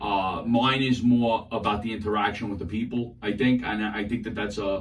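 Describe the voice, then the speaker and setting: Over music in the background, a man speaks with an American accent at a moderate pace and a fairly low pitch. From New York City, Queens and Brooklyn. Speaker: social media comedian. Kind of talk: interview. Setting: radio studio. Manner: loud; animated.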